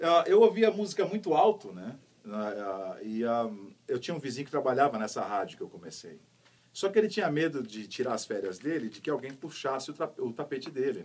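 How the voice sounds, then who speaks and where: A man with a fairly high pitch talks at a fairly quick pace, with very wide pitch swings and big swings in loudness. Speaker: voice actor. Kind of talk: interview answer. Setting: radio studio.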